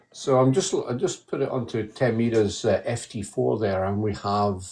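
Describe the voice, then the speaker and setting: In a strong Scottish accent, a man speaks at medium pitch and a moderate pace, his tone dark and mellow, somewhat breathy, with ordinary pitch variation. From Scotland, west coast. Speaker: radio hobbyist. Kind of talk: casual chat.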